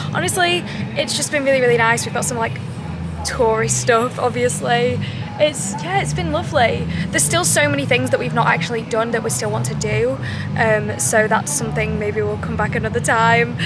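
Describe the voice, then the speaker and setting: Over clear background music, a woman talks at a fairly quick pace in a dry recording with no echo. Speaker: travel vlogger. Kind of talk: casual vlog chat. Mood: relaxed, upbeat. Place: street. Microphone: phone near.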